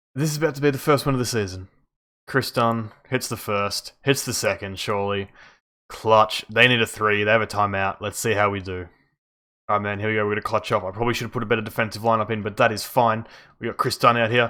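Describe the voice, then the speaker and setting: Quiet and very fast, a man talks in a bright, sharp tone at a medium pitch with fairly even intonation. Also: very clean recording, silent background. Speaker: video game youtuber. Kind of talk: gameplay commentary. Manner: quiet, subdued; casual, conversational.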